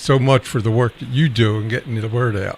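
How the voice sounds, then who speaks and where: Fairly even in intonation, a man of medium pitch speaks in a plain, everyday voice. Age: 60s. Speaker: veterans show host. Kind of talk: casual chat. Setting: live stream broadcast.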